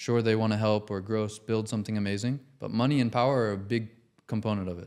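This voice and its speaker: The recording is very clean with a silent background. A man talks at a very fast pace with a fairly low pitch. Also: fairly even intonation. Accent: General American. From Los Angeles, USA. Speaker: design studio founder. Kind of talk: podcast interview answer.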